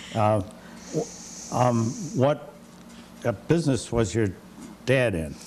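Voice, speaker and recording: A man with an American accent, medium in pitch, at a moderate pace with lively intonation, over noticeable background noise. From Connecticut, West Hartford. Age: 70s. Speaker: interviewer. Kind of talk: oral history interview. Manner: halting.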